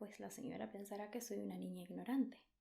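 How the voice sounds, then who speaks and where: Vocal fry runs through a woman's speech, which has fairly even intonation. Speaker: ASMR creator. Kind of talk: soft-spoken ASMR book reading. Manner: soft-spoken, slow, relaxing.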